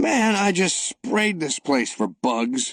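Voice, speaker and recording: A man's raspy, put-on character voice, high-pitched, at a very slow pace with very wide pitch swings. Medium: read story. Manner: gruff, offhand.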